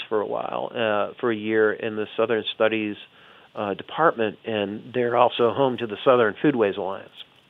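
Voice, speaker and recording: A man speaks in a plain, everyday voice at a medium pitch. He has an American accent and keeps a moderate pace. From US South, Chicago family. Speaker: history professor and author. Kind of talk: interview.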